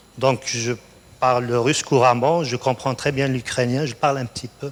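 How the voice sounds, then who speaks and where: With a North African accent, a man speaks at a moderate pace and medium pitch, his intonation flat and monotone. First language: Berber (speaking French). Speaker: college researcher, award laureate. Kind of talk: onstage interview.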